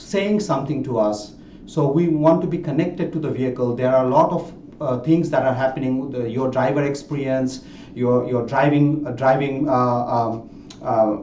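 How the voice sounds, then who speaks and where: In a non-native accent, a man talks at a medium pitch and moderate pace, with ordinary pitch variation and audible room echo. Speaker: tech executive presenting a webinar. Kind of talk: webinar presentation. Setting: online webinar. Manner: many fillers and repetitions.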